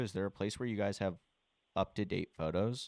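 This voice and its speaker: In a very clean recording with a silent background, a man with a Southern US accent talks at a fairly low pitch with ordinary pitch variation, the sound dry and close with no echo. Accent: Southern speech habits. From US South, Charleston, South Carolina. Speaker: real estate wholesaler. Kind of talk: cold call to a property owner. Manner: casual, hesitant with fillers.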